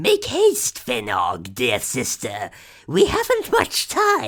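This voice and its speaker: A man puts on a raspy, croaky character voice. He talks at a very slow pace. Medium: read story. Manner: drawling, with clicking from the mouth.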